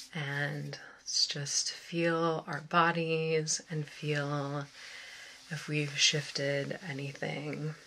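A woman speaks softly with a very deep, low pitch. Light background noise can be heard. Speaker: ASMR meditation guide. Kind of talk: guided meditation. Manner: soft-spoken. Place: home room.

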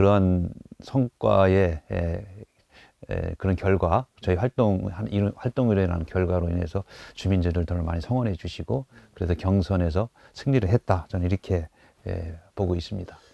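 A man speaks at a moderate pace in a very deep, low voice with ordinary pitch variation. The recording is very clean with a silent background and a dry, close sound with no echo. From Daejeon, Chungcheong (South Korea). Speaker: election candidate, former prosecutor. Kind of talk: radio interview. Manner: halting with many fillers.

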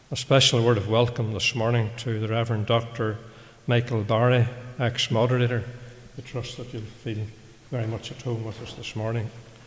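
A man's somewhat breathy voice in a flat monotone. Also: moderate pace. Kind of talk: church announcements and reading a letter aloud. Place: church. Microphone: podium.

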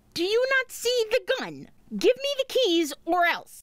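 A female-sounding cartoonish character voice squeaks out at an extremely high pitch. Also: fairly slow pace. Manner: sarcastic, brash.

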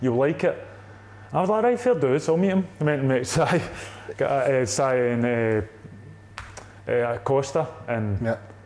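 A man speaks at a moderate pace with an Ayrshire accent. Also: very even loudness. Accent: Ayrshire Scottish. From Scotland, Ayrshire; Scotland. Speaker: footballer; guest. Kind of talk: casual chat. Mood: relaxed, casual. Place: home room.

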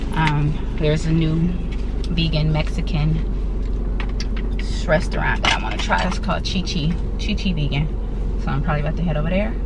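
A woman speaks at a fairly quick pace. Loud background noise runs behind her. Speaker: lifestyle vlogger. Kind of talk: casual vlog chat. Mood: disappointed, mildly frustrated. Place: car. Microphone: phone near.

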